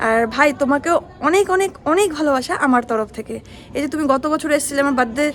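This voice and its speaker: A woman's high voice with ordinary pitch variation, music playing in the background. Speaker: vlogger. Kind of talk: casual vlog chat.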